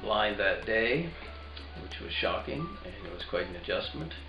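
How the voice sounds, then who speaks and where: A man's voice carries audible room echo while music sounds behind him. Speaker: retired teacher. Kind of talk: testimony. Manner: halting.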